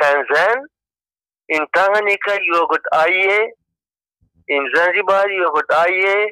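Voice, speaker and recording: A man's raised, projected voice, high-pitched with ordinary variation and a bright, sharp tone, at a moderate pace with very even loudness, long and frequent pauses, and a dry, close sound with no echo. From Tanzania (Morogoro), early years in Pakistan. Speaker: interviewee, namer of the country. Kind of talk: interview, personal story.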